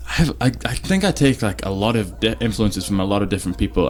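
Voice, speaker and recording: Music plays in the background as a man with a fairly low pitch speaks at a fairly quick pace. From England, Stoke-on-Trent. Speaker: pop singer-songwriter. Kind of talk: interview.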